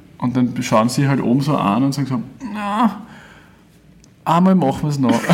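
A man's fairly high voice at a moderate pace, with very wide pitch swings, long and frequent pauses, audible room echo and noticeable background noise. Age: 20s. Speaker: singer and guitarist. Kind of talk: casual interview.

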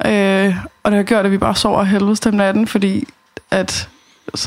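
Noticeable background noise sits behind a woman talking at a moderate pace, medium in pitch and fairly even in intonation. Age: 30s. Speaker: dietary counselor. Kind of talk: casual chat. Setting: home kitchen.

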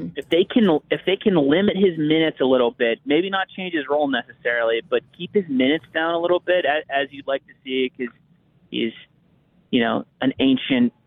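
In an American accent, a man talks at a fairly quick pace with a fairly high pitch, lively intonation and an unremarkable speaking voice. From US, Pittsburgh. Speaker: hockey writer. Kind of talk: casual chat.

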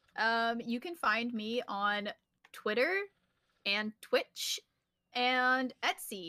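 A woman projects a raised voice with a bright, sharp tone at a very slow pace. The recording is very clean and silent in the background, with a dry, close sound and no echo. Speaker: artist and gamer. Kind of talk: casual chat.

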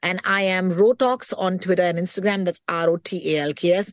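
Against a quiet background, a woman with a medium pitch speaks in an animated tone at a moderate pace, the sound dry and close with no echo. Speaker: radio host and podcast co-host. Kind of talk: casual chat.

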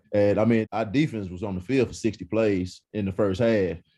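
A man with an East Texas accent at a moderate pace. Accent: East Texas Southern American. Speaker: former college quarterback, football analyst. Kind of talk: casual sports talk interview. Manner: repetitive, halting starts.

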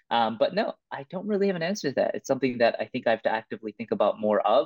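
A man talks at a very fast pace. He has a Canadian accent. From Vancouver, Canada. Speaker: breakdancer. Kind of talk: interview. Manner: hesitant with many fillers.

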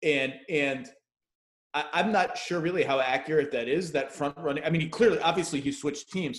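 Speaking fairly quickly, the man has an unremarkable speaking voice, pitched fairly high and varying in an ordinary way. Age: 40s. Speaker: basketball writer and podcast host. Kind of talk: casual interview.

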